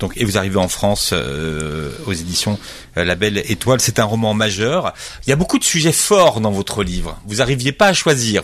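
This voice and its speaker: A man speaks at a fairly low pitch with very wide pitch swings. Noticeable background noise can be heard. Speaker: radio host. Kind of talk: interview. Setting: studio. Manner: formal.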